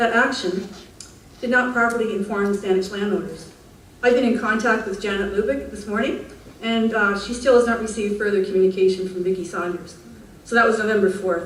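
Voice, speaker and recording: Noticeable background noise and audible room echo surround the speech. A woman of medium pitch talks fairly quickly with fairly even intonation. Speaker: public speaker at council meeting. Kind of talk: reading aloud. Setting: council meeting with audience.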